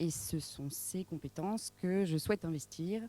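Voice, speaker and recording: A woman with a dark, mellow tone speaks at a fairly slow pace with lively intonation, in a dry, close sound with no echo. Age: 30s. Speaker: municipal election candidate. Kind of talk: public meeting self-introduction. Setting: public meeting. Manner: hesitant, frequent 'euh'.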